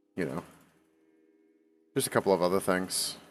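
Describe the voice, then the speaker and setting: A man speaks with music playing in the background. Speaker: gaming streamer. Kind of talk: casual live-stream chat. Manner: halting, many fillers and repeats.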